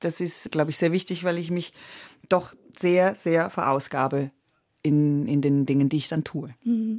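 This woman's voice sits very deep and low, and she talks at a fairly slow pace. Long pauses come often, and the recording is very clean with a silent background. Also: ordinary pitch variation. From Switzerland, Italian-speaking Graubünden. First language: Italian (speaking German). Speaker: stage and film actress. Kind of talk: radio interview.

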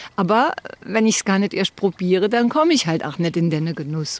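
A woman speaks with a normal speaking voice. Her pace is moderate and her intonation lively. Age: 60s. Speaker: retiree interviewee, former secretary. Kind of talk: interview, personal story.

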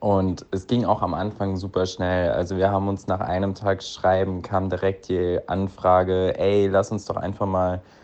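This man has an unremarkable speaking voice, set at a fairly low pitch and delivered at a moderate pace. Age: 20s. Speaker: listener sending a voice message. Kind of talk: recorded voice message telling a personal story.

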